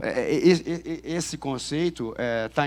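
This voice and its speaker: This man's voice sits fairly high and shows ordinary pitch variation. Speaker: police chief and intelligence official. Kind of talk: conference talk. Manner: fast; halting with many fillers and repetitions.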